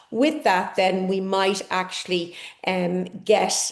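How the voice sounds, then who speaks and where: A woman speaks at a medium pitch in an Irish accent. Room echo is audible. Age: 60s. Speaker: conference speaker, ageing researcher. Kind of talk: conference talk.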